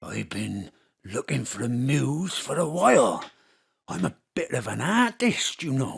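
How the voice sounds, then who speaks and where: A put-on character voice at a low-to-middle pitch delivers its lines at a fairly slow pace. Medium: audio drama. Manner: coarse, leering.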